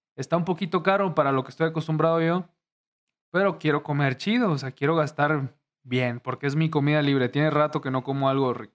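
With ordinary pitch variation, an unremarkable speaking voice goes along at a fairly quick pace. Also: man, fairly high pitch for a man. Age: 20s. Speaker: YouTuber. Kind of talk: casual chat.

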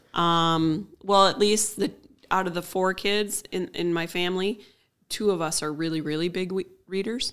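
Speaking with an American accent, a woman has an ordinary speaking voice at a medium pitch, a moderate pace and fairly even intonation. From Minnesota, Willmar area. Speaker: technology campus manager. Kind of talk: casual interview chat.

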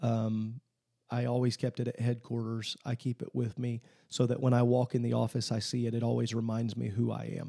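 In a Midwestern US accent, a man speaks at a fairly quick pace and medium pitch with a dark, mellow tone and monotone, flat intonation, on a very clean recording with a silent background and a dry, close sound with no echo. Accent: US Midwest. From Illinois, small farm town. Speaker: pastor and Bible college president. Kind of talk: interview.

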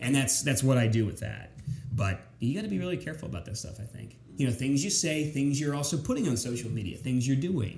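Someone speaks at a very fast pace with lively intonation and an American accent. Audible room echo fills the recording. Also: man, medium pitch for a man. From south central Pennsylvania (York). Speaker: TV news anchor. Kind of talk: casual interview chat.

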